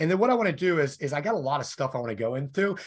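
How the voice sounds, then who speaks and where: The man's words come very fast. Behind him, the background stays quiet. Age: 40s. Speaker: financial education webinar host. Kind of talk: sales webinar presentation. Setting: live online webinar.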